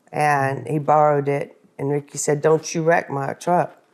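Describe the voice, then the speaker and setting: A woman with a very deep, low pitch at a moderate pace. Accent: Texan. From Texas. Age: 60s. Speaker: wife of a country singer. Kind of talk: casual interview chat. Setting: at home.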